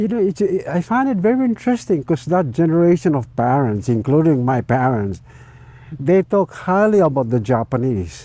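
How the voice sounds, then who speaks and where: A man with a dark, mellow tone speaks at a moderate pace and fairly high pitch, his voice making very wide pitch swings. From Saipan, Northern Mariana Islands. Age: 80s+. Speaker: community elder. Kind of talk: oral history interview. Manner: halting.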